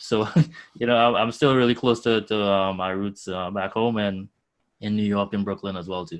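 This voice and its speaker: With a strong Trinidadian accent, a man speaks at a fairly low pitch over a quiet background. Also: moderate pace. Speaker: nonprofit founder connecting students with finance careers. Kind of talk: podcast interview. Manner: animated.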